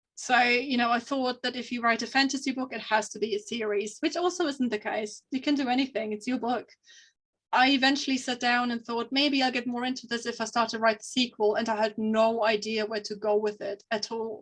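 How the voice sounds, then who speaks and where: She speaks with a non-native accent. Her intonation is fairly even. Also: fairly high pitch for a woman, fairly quick pace. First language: not English. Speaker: fantasy author. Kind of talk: podcast interview. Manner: halting.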